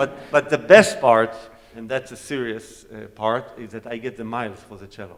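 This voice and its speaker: The voice belongs to a man with a medium pitch. Its variation in pitch is ordinary. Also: moderate pace, big swings in loudness. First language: Hebrew. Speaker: cellist. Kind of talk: onstage Q&A talk.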